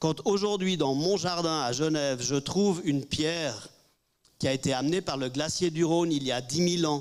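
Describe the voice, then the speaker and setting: A man with a fairly high voice and ordinary pitch variation speaks at a moderate pace. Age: 60s. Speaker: panelist. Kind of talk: press conference Q&A. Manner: halting.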